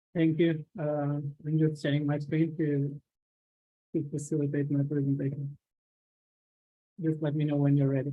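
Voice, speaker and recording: A quiet, fairly high male voice in a flat monotone, with long, frequent pauses. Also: moderate pace. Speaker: technology company executive. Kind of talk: webinar presentation. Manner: halting, many fillers.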